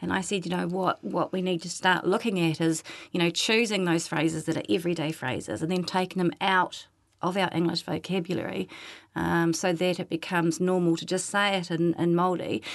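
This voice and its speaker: A woman talks at a fairly quick pace with a fairly low pitch. Her intonation stays fairly even against a quiet background. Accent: New Zealand. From New Zealand North Island. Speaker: Māori language teacher. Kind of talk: casual chat. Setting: studio.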